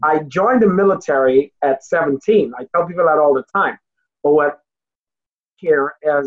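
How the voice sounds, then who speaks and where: A man talks with a fairly high pitch and ordinary pitch variation. It is a normal speaking voice. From outside the US, non-English-speaking country. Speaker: motivational speaker, author, Marine veteran. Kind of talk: interview.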